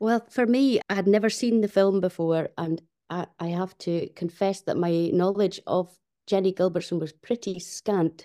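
In a Shetland accent, the voice has a dark, mellow tone, ordinary pitch variation, and a moderate pace. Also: woman, medium pitch for a woman, dry, close sound with no echo. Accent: Shetland Scottish. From Fair Isle, Shetland. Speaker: musician and composer. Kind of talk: casual interview. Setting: video call.

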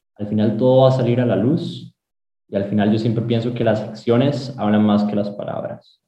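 A man with a Costa Rican accent speaks at a moderate pace. His tone is dark and mellow, and somewhat breathy. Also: medium pitch for a man. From Costa Rica, San José (Sabanilla, Montes de Oca). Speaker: aerospace engineering student. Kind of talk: interview. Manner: halting, with repetitions.

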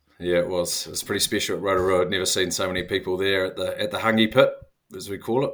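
A man talks with a New Zealand accent. He speaks at a very fast pace. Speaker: former professional rugby player. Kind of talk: casual interview chat.

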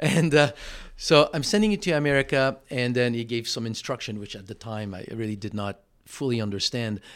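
A man with a French Canadian accent, medium in pitch, at a fairly quick pace. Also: ordinary pitch variation. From Quebec, Montreal. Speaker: stem cell supplement entrepreneur. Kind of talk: interview conversation. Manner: halting, frequent word repetitions.

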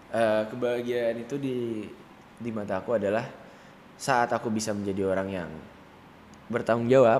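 Audible room echo surrounds a man who speaks at a moderate pace with fairly even intonation. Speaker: young entrepreneur and event organizer. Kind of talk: casual interview chat.

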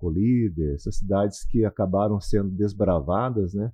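Here a man speaks in a plain, everyday voice at a fairly slow pace. His pitch is fairly low, with ordinary variation. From Paraná interior, Brazil. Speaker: radio announcer and real estate broker. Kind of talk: casual interview.

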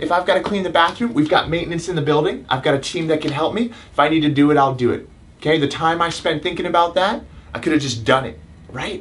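At a very fast pace, a man talks in an animated tone with a fairly high pitch and ordinary pitch variation. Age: 30s. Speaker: chiropractor and self-help video host. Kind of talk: motivational talk. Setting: live stream.

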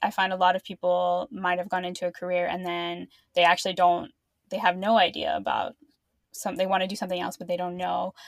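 In an ordinary speaking voice, a woman talks at medium pitch and a fairly quick pace on a very clean recording with a silent background. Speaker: podcast host. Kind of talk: casual interview conversation.

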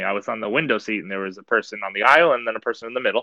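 This is a man speaking at a fairly low pitch. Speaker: podcast co-host. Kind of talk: casual chat.

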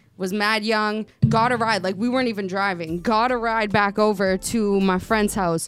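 Music plays behind a woman as she speaks. Her intonation stays fairly even. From US, Italian and Puerto Rican family. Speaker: podcast co-host guest, artist. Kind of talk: casual chat.

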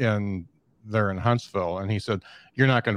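Dry, close sound with no echo and a quiet background carry a man with an ordinary speaking voice. His pitch is fairly low, his intonation fairly even. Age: 50s. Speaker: podcaster. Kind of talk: casual chat. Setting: video call.

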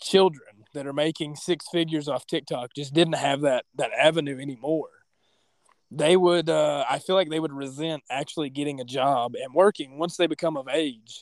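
With an ordinary speaking voice, a man speaks at a moderate pace and fairly high pitch with fairly even intonation, in a dry, close sound with no echo. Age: 20s. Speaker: mixed martial arts fighter. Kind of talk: casual chat.

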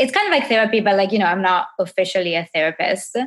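At a fairly quick pace, a woman with an Italian accent talks at a medium pitch with ordinary pitch variation. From Italy. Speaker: professor and coach for women entrepreneurs. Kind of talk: casual interview conversation. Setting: video call.

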